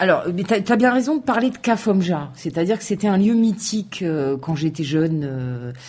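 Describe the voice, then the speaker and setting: Somewhat breathy and medium in pitch, a woman's voice swings very widely up and down and runs on with hardly any pauses. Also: moderate pace. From France, Aubervilliers (Paris suburbs). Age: 40s. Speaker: local government community officer. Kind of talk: radio interview.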